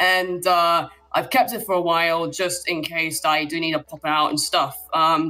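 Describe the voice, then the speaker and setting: A woman with a British accent speaks at a moderate pace in a fairly low voice, her bright, sharp tone carried on fairly even intonation. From Britain. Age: 20s. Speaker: caller. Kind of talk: casual chat. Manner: hesitant, many fillers.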